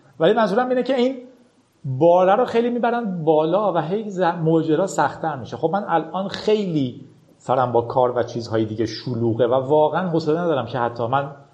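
The speaker moves at a fairly quick pace, the pitch swinging very widely. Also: man, fairly high pitch for a man. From Iran. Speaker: podcaster and programmer. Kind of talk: casual interview.

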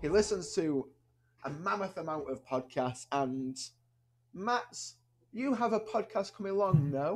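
A man at a very slow pace, his intonation lively. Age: 20s. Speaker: podcast host. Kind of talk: casual chat. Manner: animated.

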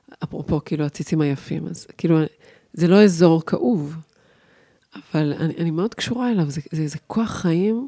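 This woman's voice sits fairly low and has a dark, mellow tone. Her intonation is lively, and the sound is dry and close with no echo. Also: moderate pace. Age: 50s. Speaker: podcast host, body-based communication coach. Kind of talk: casual chat.

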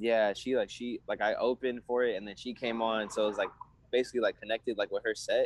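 A man with a Southern Californian accent talks at a very fast pace, his voice dry and close with no echo. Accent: Southern California American. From San Diego, California. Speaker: rapper. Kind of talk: casual interview. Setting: video call.

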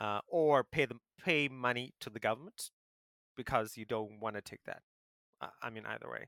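A man speaks at medium pitch and a moderate pace, his tone bright and sharp with ordinary pitch variation. Loudness swings widely, long pauses come often, and the sound is dry and close with no echo. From South Africa. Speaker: podcast co-host. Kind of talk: casual chat.

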